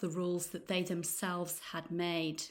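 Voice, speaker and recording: Her pitch is medium. The woman keeps to a moderate pace. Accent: East Midlands. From Nottingham, England. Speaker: English teacher and podcast host. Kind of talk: news reading for English learners. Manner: clear, measured pace.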